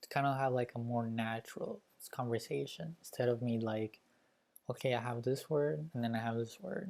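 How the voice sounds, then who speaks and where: This man talks at a moderate pace with a medium pitch and a Spanish accent. His intonation is lively. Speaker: YouTuber learning languages. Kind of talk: casual vlog talk to camera. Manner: casual, hesitant with fillers.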